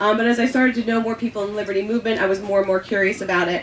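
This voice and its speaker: There is noticeable background noise behind the speaker. A woman talks at a fairly high pitch. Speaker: panel speaker at libertarian festival. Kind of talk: panel discussion. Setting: event with audience, passed microphone. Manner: fast; halting, many ums.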